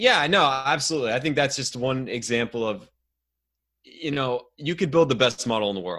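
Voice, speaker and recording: Here a man speaks with an Ohio accent at a medium pitch. His tone is bright and sharp, and his pitch variation is ordinary. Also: moderate pace. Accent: Midwestern American (Ohio). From US Midwest, outside Cleveland, Ohio. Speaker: hockey analytics podcaster. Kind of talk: casual chat.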